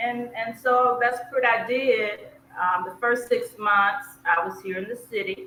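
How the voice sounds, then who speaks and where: The voice has a bright, sharp tone and an American accent. It moves at a fairly slow pace with ordinary pitch variation. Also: woman, fairly high pitch for a woman. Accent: Southern US, fading. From US South, South Georgia. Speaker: expat travel coach. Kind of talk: casual interview chat.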